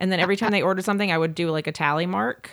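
On a very clean recording with a silent background, a woman with an American accent varies her pitch in an ordinary way. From US South, Jackson, Mississippi. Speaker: pastry chef. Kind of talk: casual interview chat. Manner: animated.

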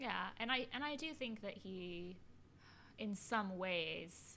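With a plain, everyday voice, a woman speaks at a fairly slow pace, her medium pitch carried by lively intonation. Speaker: podcast co-host. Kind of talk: casual chat.

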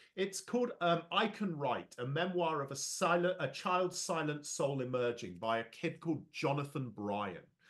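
Speaking in an English Midlands accent, a man with a fairly high pitch and lively intonation keeps a moderate pace with hardly any pauses. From London. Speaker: education and leadership speaker. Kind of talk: casual interview.

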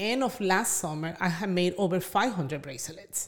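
A woman with a Spanish accent, very wide pitch swings and a moderate pace. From Venezuela. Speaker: small business owner. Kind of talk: podcast interview.

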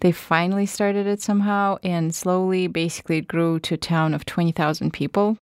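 The intonation stays fairly even. The sound is dry and close with no echo, on a very clean recording with a silent background. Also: woman, medium pitch for a woman, fairly quick pace. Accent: Russian. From Russia, northern Siberia. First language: Russian. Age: 30s. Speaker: podcast producer and journalism lecturer. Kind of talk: interview.

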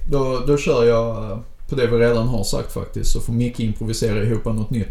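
A man speaks at a fairly quick pace in a medium pitch with fairly even intonation. Audible room echo and noticeable background noise accompany him. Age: 30s. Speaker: podcast co-host and game master. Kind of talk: casual chat.

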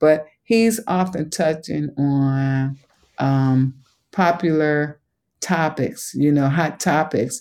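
Dark, mellow tone with ordinary pitch variation and a slight Southern US accent, in a very clean recording with a silent background. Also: woman. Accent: slight Southern country tinge. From Chicago. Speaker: museum education executive. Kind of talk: interview.

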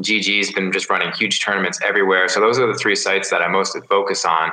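A man speaks with a fairly low pitch. His pace is fairly quick. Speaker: professional poker player. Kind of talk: casual interview. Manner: soft-spoken.

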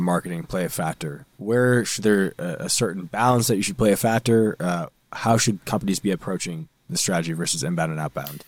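With a fairly low pitch and lively intonation, a man talks in a normal speaking voice at a moderate pace, the recording very clean, dry and close, with a silent background and no echo. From Boston North Shore, Massachusetts. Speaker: podcast co-host. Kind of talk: casual chat.

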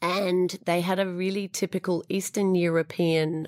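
A woman with an Australian accent speaks at a fairly slow pace with fairly even intonation, in a very clean recording with a silent background and a dry, close sound with no echo. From Australia, Sydney. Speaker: food business founder. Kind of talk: interview.

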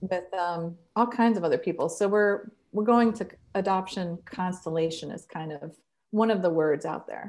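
A woman with a Midwestern American accent speaks at a medium pitch and moderate pace, with ordinary pitch variation and big swings in loudness, on a very clean recording with a silent background. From Ohio, Columbus. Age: 50s. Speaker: therapist. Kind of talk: interview.

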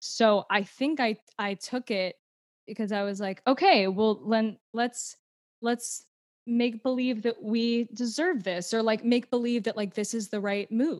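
A woman with an American accent speaks at a fairly slow pace and fairly high pitch with ordinary pitch variation, an ordinary speaking voice. The sound is dry and close, with no echo. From Houston, Texas. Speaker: actor and TikTok creator. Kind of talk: casual interview chat.

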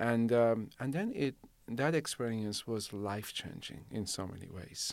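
A man speaks with a Persian accent at a fairly slow pace. The recording is very clean, with a silent background. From Iran, Shiraz. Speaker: city manager. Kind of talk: interview. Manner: halting, many fillers.

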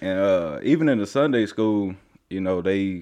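An unremarkable speaking voice belongs to a man with an American accent and fairly low pitch. He talks at a fairly slow pace with ordinary pitch variation. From Oklahoma, Tulsa. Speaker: testimony guest. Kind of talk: testimony.

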